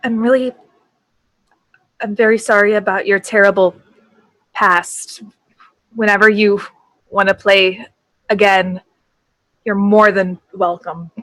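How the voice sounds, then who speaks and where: A shaky, female-sounding put-on character voice sits at medium pitch. It moves at a fairly slow pace with long, frequent pauses. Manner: shaky, sorrowful.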